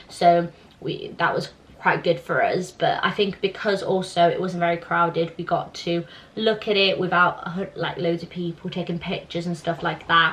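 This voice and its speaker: Against noticeable background noise, a woman speaks at a fairly low pitch and a moderate pace in a monotone, flat way. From southern Italy. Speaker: YouTuber. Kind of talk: casual Q&A chat.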